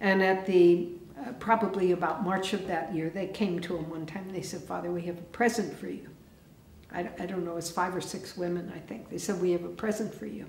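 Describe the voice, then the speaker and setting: A woman speaks at a fairly quick pace with fairly low pitch and fairly even intonation. Light background noise and audible room echo are present. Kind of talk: teaching talk with storytelling. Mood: calm, warm. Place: church.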